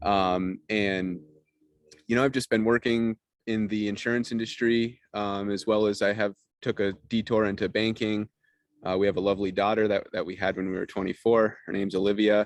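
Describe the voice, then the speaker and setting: A man's fairly low, monotone voice with flat intonation, dry and close with no echo, over a quiet background. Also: moderate pace. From Vermont, Rutland County. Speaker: business owner. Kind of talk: interview.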